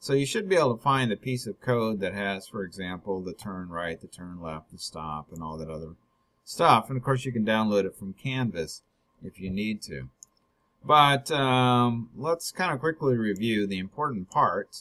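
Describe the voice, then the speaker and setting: Fairly low male voice with a bright, sharp tone, very wide pitch swings, big swings in loudness, a moderate pace, and a quiet background. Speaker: instructor. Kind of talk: tutorial.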